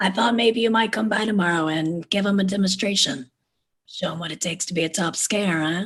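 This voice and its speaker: A put-on character voice that sounds female and raspy. The pitch sits in the middle range. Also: fairly quick pace. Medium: stage play.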